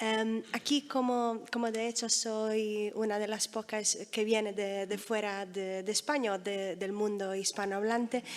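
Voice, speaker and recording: A woman speaks at a fairly high pitch in a monotone, flat intonation. Her pace is fairly slow, with hardly any pauses. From Italy. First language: Italian (speaking Spanish). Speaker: book editor. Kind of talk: panel talk. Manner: halting.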